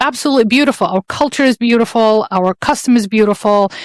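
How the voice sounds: A woman with an Arabic accent, medium pitch, in a dry, close sound without echo.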